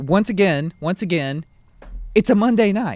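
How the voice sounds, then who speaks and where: The speaker is a man with a high voice. He uses lively intonation. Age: 20s. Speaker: podcast co-host. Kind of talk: casual chat.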